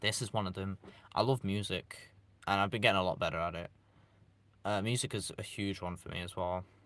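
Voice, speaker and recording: With a British accent, a man speaks at a fairly quick pace but with long, frequent pauses, his fairly low pitch and fairly even intonation captured in a very clean recording with a silent background. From East Midlands, England. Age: young. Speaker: YouTuber live streamer. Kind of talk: casual live stream chat. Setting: live stream. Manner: casual, halting with restarts.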